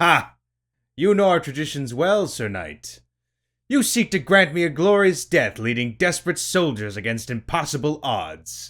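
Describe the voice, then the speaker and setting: A man's put-on character voice, fairly high in pitch, at a moderate pace on a very clean recording with a silent background. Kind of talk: archaic formal speech. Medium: read story. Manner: gruff, formal.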